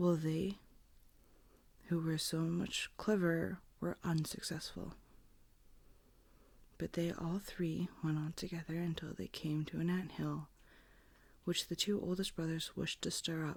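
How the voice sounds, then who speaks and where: Soft-spoken and fairly slow, the speaker leaves long, frequent pauses in a very clean recording with a silent background. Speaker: ASMR creator. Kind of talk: bedtime story reading.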